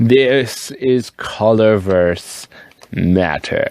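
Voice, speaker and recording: There is noticeable background noise in this clip. Through it a man talks at a fairly low pitch. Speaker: fountain pen and ink video creator. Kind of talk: casual show-and-tell vlog. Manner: animated, lots of fillers.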